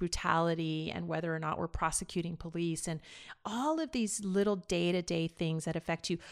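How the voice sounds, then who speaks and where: An ordinary speaking voice with an American accent uses fairly even intonation. The recording is very clean, with a silent background. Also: woman. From Los Angeles, California (East LA). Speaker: former state legislator and media founder. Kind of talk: interview.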